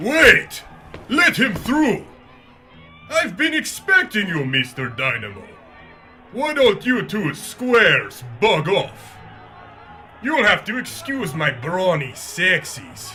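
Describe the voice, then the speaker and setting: Putting on a character voice, a man speaks very slowly at a high pitch with very wide pitch swings and long, frequent pauses as music plays clearly behind him. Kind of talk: 1950s radio villain. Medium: audio drama. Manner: smooth, self-assured.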